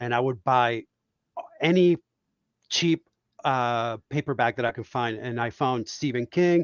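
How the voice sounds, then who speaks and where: Someone talks at a fairly slow pace with long, frequent pauses and ordinary pitch variation. The speaker has a Spanish accent. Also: man, medium pitch for a man. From Puerto Rico. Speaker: cartoonist. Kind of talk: casual chat. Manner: animated.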